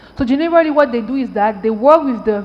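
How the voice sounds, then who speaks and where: A woman with a French accent talks at a very fast pace, with ordinary pitch variation. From Cameroon. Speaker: tech entrepreneur and panelist. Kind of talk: panel discussion.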